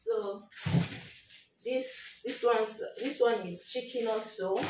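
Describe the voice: In a room with audible echo, a woman speaks slowly at a fairly high pitch, with a slightly mellow tone and ordinary pitch variation.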